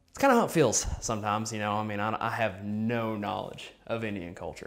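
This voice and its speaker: Fairly even intonation marks this very fast speech in an American accent. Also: man. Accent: strong country. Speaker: adoptee interviewee. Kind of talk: interview testimony.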